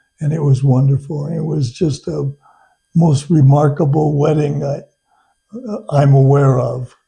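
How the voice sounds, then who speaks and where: Pausing long and often, a man with a fairly high, dark, mellow, somewhat breathy voice speaks fairly slowly in a flat monotone. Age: 80s+. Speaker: retired attorney, teacher and hunting guide. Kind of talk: interview.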